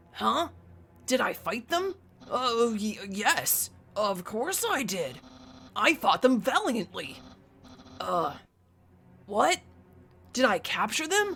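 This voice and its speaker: Using a put-on character voice, a woman speaks at a fairly high pitch and a very slow pace with long, frequent pauses. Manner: nervous, stammering.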